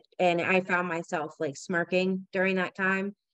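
A woman is recorded with a dry sound and no echo against a quiet background. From Southern New Hampshire. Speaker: mother; podcast panelist. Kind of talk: casual chat. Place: home room.

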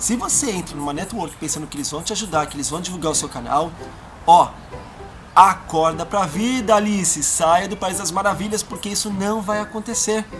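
Clear music plays behind a man who speaks at a moderate pace, his voice high in pitch with ordinary variation. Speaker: video blogger. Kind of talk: casual vlog chat. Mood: annoyed, animated storytelling. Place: garden. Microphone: camera far.

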